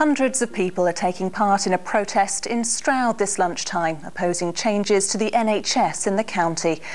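Against noticeable background noise, a woman talks at a moderate pace and medium pitch with hardly any pauses. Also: ordinary pitch variation. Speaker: radio newsreader. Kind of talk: news reading. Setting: studio.

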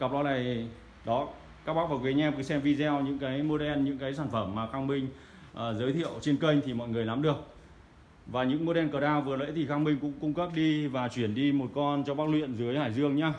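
This man's speech rushes along very quickly. The intonation remains fairly level throughout. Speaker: audio equipment seller. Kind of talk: product showcase commentary. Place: shop. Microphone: phone near.

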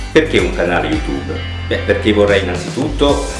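Over clear music in the background and with audible room echo, a man speaks at a moderate pace. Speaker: actor and reading teacher. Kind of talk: outtakes, casual off-script talk. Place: home room.

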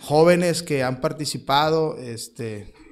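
Fairly high male voice with ordinary pitch variation and audible room echo. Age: 40s. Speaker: missionary pastor. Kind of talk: sermon.

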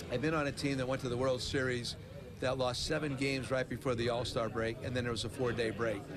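The man talks at a very fast pace. Noticeable background noise is present. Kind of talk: interview answer. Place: stadium. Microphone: handheld.

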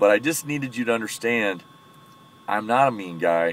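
Heard as a dry sound with no echo, a man with an American accent talks at a moderate pace and a fairly low pitch. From US. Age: 40s. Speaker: military veteran and powerlifter. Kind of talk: casual vlog monologue. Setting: in a parked truck. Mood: earnest, friendly, explaining himself. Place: car. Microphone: phone near.

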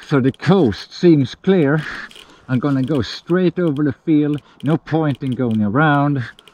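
There's ordinary pitch variation as a man talks at a fairly slow pace, the sound dry with no echo. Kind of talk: casual vlog chat. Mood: tense, quiet. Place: forest. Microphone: phone near.

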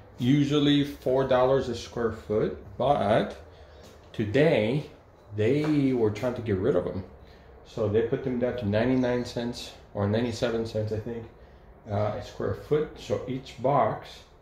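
A man at a fairly slow pace with ordinary pitch variation, audible room echo and light background noise. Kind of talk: casual vlog chat. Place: home room. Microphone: phone near.

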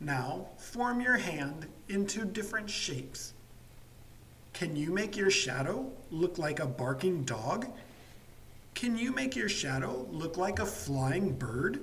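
Noticeable noise fills the background. Each word arrives at a very slow pace. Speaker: English teacher. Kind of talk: slow story reading for language learners. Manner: slow, clear.

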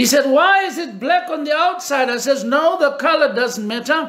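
Against a quiet background, a man speaks at an extremely high pitch. His tone is bright and sharp, with ordinary pitch variation. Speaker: pastor / preacher; pastor, preacher. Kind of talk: personal anecdote told in a sermon. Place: home room. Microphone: phone near.

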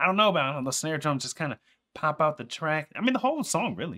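A man's tone is bright and sharp, his intonation lively and his pace very fast. The background is quiet. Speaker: streamer reacting to music. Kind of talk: casual reaction commentary. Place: home room.

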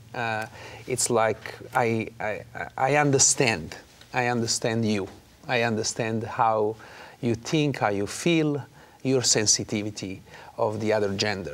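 A man speaks with an Italian accent. His pace is fairly slow, with ordinary pitch variation. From Naples, Italy. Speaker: opera singer. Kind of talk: interview. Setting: studio. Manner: animated. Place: studio. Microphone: lapel.

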